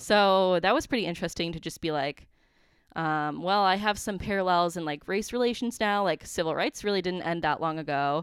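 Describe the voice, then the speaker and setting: Very cleanly recorded against a silent background, an ordinary speaking voice with an American accent moves at a fairly quick pace with ordinary pitch variation. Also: woman, fairly low pitch for a woman. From central Wisconsin. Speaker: recent graduate, business employee. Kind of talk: casual interview.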